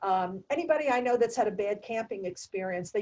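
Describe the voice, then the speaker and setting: A woman speaks with a fairly high pitch and ordinary pitch variation. She has an unremarkable speaking voice. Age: 60s. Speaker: nurse and meditation teacher. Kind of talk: interview conversation.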